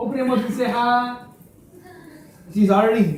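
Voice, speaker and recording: Noticeable background noise sits behind a man whose pitch is extremely high. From India. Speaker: lecturer. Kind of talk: talk to students.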